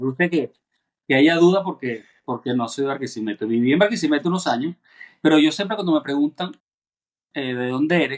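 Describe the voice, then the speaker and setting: In a dry, close recording with no echo, a man speaks fairly quickly in a fairly high pitch, with lively intonation, big swings in loudness and long, frequent pauses. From Venezuela. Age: 40s. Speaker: cellist. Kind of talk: casual chat.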